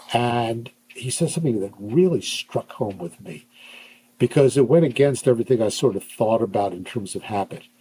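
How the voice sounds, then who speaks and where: A man with an American accent speaks at a moderate pace and medium pitch, his somewhat breathy, dark, mellow tone carrying lively intonation and big swings in loudness. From US Northeast, Pennsylvania. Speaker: neuropsychologist. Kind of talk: podcast interview.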